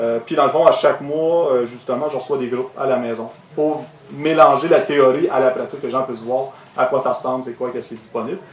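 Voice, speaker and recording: A man speaks at a fairly quick pace in a Quebec accent, his pitch medium and his intonation fairly even. Noticeable background noise and audible room echo are present. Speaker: ecological construction contractor. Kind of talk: conference talk. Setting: stage with audience. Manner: fast. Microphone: echo from room sound system.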